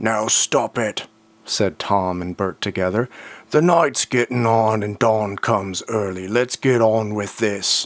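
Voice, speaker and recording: Slowish in pace, this is a put-on character voice. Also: man, medium pitch for a man. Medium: read story. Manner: gruff, bickering.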